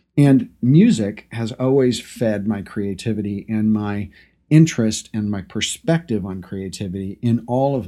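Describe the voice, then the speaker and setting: Dark and mellow in tone, a man speaks with a fairly low pitch and ordinary pitch variation. He keeps a moderate pace on a very clean recording with a silent background. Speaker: podcast host and brand designer. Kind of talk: solo talk to camera and listeners.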